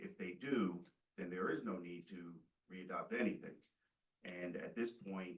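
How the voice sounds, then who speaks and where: Fairly slow and fairly even in intonation, the speech has long, frequent pauses and audible room echo. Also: man, very deep, low pitch for a man. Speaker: attorney speaking for a client. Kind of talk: public comment at council meeting. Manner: loud.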